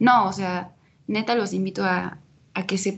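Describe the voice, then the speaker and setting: With a somewhat breathy quality, a woman speaks at a medium pitch with fairly even intonation. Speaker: podcast co-host. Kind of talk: casual chat.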